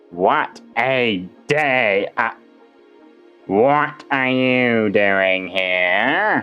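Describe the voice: A man in a put-on character voice at medium pitch and a very slow pace, with faint music in the background.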